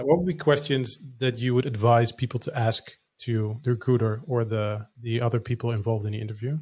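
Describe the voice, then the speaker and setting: A man with a Dutch accent, medium pitch, a fairly quick pace, hardly any pauses, a somewhat breathy sound and fairly even intonation. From Netherlands.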